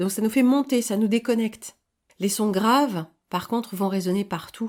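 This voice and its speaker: Over a very clean recording with a silent background, a woman with a fairly high voice speaks at a fairly slow pace. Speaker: online commentator. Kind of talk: spoken editorial monologue. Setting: seated, solo recording. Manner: calm, measured; hesitant, repeats words.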